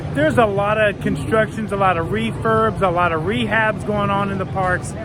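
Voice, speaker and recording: Over noticeable background noise and audible room echo, a man talks at a moderate pace in a high voice with lively intonation. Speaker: theme park vlogger. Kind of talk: walking vlog narration. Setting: outdoors. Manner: excitable.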